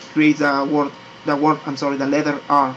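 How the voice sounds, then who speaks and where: A man's fairly high voice with a non-native accent against noticeable background noise. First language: not English. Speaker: 3D graphics tutorial maker. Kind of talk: tutorial. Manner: halting, many repetitions and fillers.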